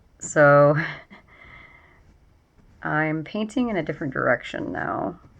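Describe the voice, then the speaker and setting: A woman mumbles at a fairly slow pace. Her intonation is lively. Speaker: painter and writer. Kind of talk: casual talk while painting. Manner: mumbling.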